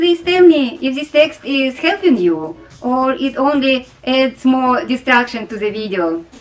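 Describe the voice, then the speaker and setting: A woman with a strong non-native accent speaks at a fairly slow pace in a high pitch, with very wide pitch swings and hardly any pauses. Noticeable background noise runs beneath her voice. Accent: heavy non-native English. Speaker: sewing tutorial creator. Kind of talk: tutorial; casual appeal to viewers.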